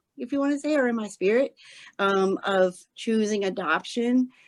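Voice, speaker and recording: A woman with a slight Southern US accent speaks with ordinary pitch variation in a dry, close sound with no echo. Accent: slight Southern twang. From Arkansas. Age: 30s. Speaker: podcast guest, blind adoptive mother. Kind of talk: casual interview chat. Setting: remote call. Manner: animated.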